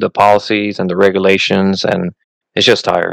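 A man speaks with a Puerto Rican accent and a fairly low pitch. His moderate pace comes through in a dry, close sound with no echo. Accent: mild Puerto Rican Spanish-accented English. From Puerto Rico. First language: Spanish. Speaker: Coast Guard member and podcaster. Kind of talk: casual interview. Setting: video call. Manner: halting, repeats words.

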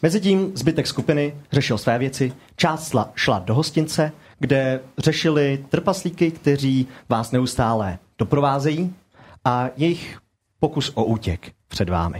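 A man's fairly high, somewhat breathy voice with lively intonation, very even loudness, and a fairly slow pace. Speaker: game master of tabletop RPG podcast. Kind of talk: tabletop role-play narration and casual chat.

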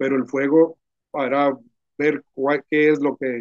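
This man has an unremarkable speaking voice, fairly high in pitch, delivered at a fairly slow pace with a dry, close sound and no echo. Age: 60s. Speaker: pastor and ministry founder. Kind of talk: casual conversation about church ministry.

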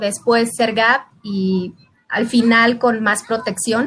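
A woman at a fairly high pitch and a very slow pace. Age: 30s. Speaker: insurance agent. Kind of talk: casual chat.

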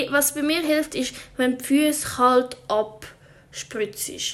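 Woman with a high pitch amid noticeable background noise. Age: 20s. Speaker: podcaster. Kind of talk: casual monologue. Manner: halting.

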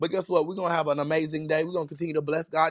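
A man speaks very fast in a high voice, with a monotone, flat delivery and a dry, close sound that has no echo. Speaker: online prayer room host, prophet. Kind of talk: casual worship show talk with prayer. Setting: online audio room.

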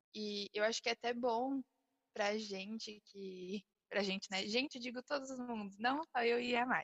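Using a normal speaking voice at a fairly high pitch, a woman talks at a moderate pace with ordinary pitch variation. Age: young (almost 19). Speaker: podcast co-host, small business owner. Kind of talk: casual chat.

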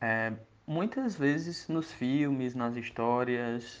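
The background stays quiet. A man talks at a medium pitch. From Brazil, Ceará interior (Iguatu). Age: 20s. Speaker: entrepreneur, creativity educator. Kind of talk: casual talk to listeners.

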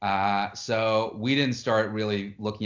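The man speaks in a flat monotone. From Chattanooga, Tennessee (born in Moscow, emigrated as a kid). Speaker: cybersecurity expert and tech entrepreneur. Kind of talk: interview.

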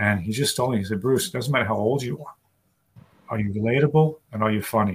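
A man with an American accent, somewhat breathy, medium in pitch with ordinary pitch variation, at a very fast pace. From New York City. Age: 60s. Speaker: stand-up comedian. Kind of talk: casual interview chat. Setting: video call.

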